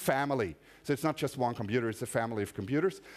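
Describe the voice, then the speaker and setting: A man speaks with a German accent. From Austria. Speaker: conference speaker. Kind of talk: technical lecture. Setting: stage with audience. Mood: casual, humorous. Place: hall.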